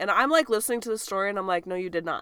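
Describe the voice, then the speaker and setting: A woman speaks with an American accent at a medium pitch, her tone bright and sharp. The recording is very clean, with a silent background. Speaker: podcast co-host. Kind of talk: casual banter.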